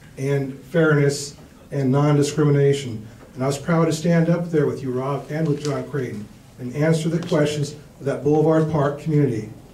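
A man at a moderate pace with fairly even intonation, light background noise and audible room echo. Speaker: candidate. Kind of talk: debate answer. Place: hall.

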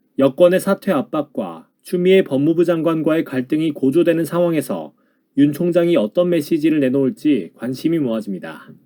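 This man's pitch is fairly high, with ordinary variation. He talks at a moderate pace in a dark, mellow tone. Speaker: announcer practice reader. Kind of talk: TV news read.

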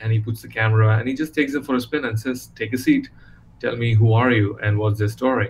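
Somewhat breathy and fairly even in intonation, the voice comes with light background noise. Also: man. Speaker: interview guest. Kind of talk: interview answer. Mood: warm, engaged. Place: home room.

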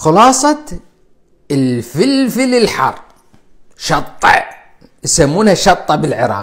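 Against a quiet background, a man with an Iraqi accent speaks in an animated tone. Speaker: cardiologist. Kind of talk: live stream health talk. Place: home room. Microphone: lapel.

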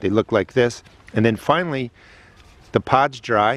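The sound is dry, with no echo. The pace is moderate. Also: man. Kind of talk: tutorial. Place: garden. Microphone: phone near.

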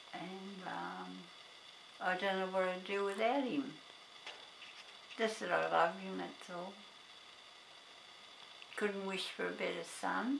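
The speaker has an Australian accent and a fairly slow pace with long, frequent pauses. Noticeable background noise is present. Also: woman. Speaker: grandmother interviewed by grandson. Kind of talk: interview answer. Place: home room.

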